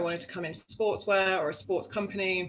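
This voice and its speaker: In a London accent, a woman talks very fast with a bright, sharp tone, medium pitch and fairly even intonation. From London, England. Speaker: knitwear designer. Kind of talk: interview. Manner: casual, many fillers.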